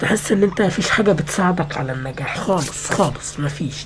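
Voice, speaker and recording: A woman's fairly low voice in an Egyptian accent, at a moderate pace with ordinary pitch variation, amid audible room echo and background music. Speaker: gaming youtuber. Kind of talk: casual vlog rant. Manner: halting, repetitive.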